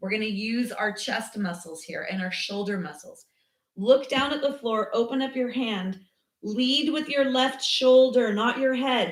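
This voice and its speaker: Loud and high-pitched, a woman speaks with lively intonation. Her pace is fairly slow. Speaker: yoga teacher. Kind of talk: guided yoga class.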